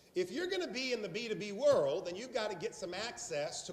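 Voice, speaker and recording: Animated in tone, a man speaks with a Southern US accent. Room echo is audible and background noise is noticeable. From South Carolina. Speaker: sales trainer. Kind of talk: training seminar.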